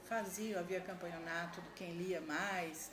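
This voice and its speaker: A woman speaks at a moderate pace with fairly low pitch and fairly even intonation. Audible room echo and noticeable background noise are present. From Brazil, interior of São Paulo state. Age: 60s. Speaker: education administrator, former teacher. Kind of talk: interview.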